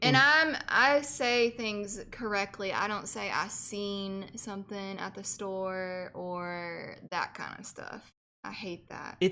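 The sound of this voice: Speaking very slowly with hardly any pauses, a woman with a Southern US accent has a bright, sharp tone at a medium pitch, ordinary pitch variation and big swings in loudness, on a very clean recording with a silent background. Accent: Southern American.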